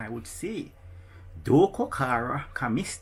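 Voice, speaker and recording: A man with a Jamaican accent speaks at a very slow pace. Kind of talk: casual language explainer to camera. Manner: slow, repeating phrases.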